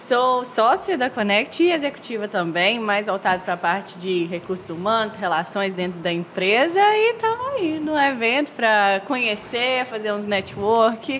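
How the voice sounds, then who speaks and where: Over noticeable background noise, a woman with a Minas Gerais accent speaks at a fairly high pitch with lively intonation. Her pace is fairly slow, with hardly any pauses. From Minas Gerais, Brazil (Viçosa). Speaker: business partner, HR executive. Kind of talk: podcast interview.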